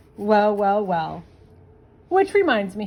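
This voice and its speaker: A woman performs a put-on character voice. Her pitch sits in the medium range. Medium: read story.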